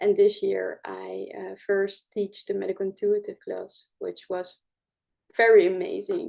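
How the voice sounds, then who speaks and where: Against a quiet background, a woman speaks at a fairly slow pace in a Dutch accent. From Netherlands. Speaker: spiritual healing teacher. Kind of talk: live show presentation. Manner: halting, many fillers.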